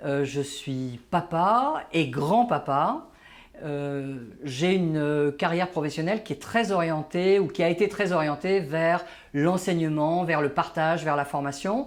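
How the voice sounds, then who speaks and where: A man with a fairly high voice talks very slowly. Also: ordinary pitch variation. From Paris, France (born in Algeria). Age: 60s. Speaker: management trainer and author. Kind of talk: interview. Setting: office. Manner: hesitant, many fillers.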